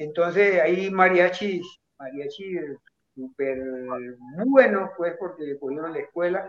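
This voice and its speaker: Pitched high for a man, he speaks fairly slowly with ordinary pitch variation and long, frequent pauses. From Colombian Pacific coast (Buenaventura), raised partly in Bogotá. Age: 60s. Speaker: salsa bandleader. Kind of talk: interview.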